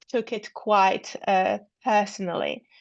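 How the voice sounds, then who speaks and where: A woman with a Polish accent speaks at a fairly high pitch against a quiet background. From Poland. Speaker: researcher. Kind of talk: academic seminar Q&A. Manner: halting.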